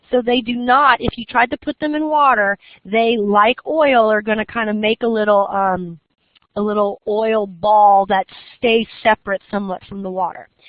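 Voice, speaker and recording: A woman with an unremarkable speaking voice talks at a moderate pace and fairly high pitch, with ordinary pitch variation. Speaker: college biology professor. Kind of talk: lecture.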